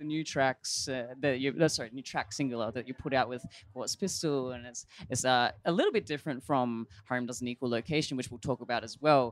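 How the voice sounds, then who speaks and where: A fairly quick pace in an Australian accent. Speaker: radio host. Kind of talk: interview. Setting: backstage at music festival.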